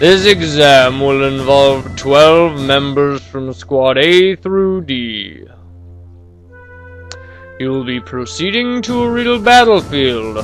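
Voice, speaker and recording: Over clear background music, a man does a put-on character voice, fairly high in pitch and very slow. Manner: serious.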